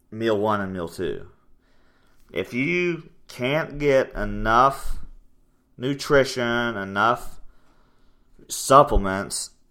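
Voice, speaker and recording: Loud and bright with a sharp tone, a man at medium pitch uses lively intonation at a very slow pace with long, frequent pauses, on a very clean recording with a silent background. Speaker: fitness coach and podcast host. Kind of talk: casual chat.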